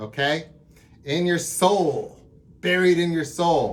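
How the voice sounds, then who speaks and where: A somewhat breathy voice with an enthusiastic tone. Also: man. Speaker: drum teacher. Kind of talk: tutorial. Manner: casual, enthusiastic.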